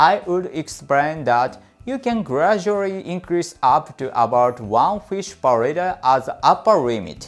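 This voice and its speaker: Over music in the background, a man with a Japanese accent speaks at a fairly slow pace, his fairly high voice making very wide pitch swings. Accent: non-native English, Japanese. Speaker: fishkeeping YouTuber. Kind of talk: scripted tutorial. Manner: careful, read from script.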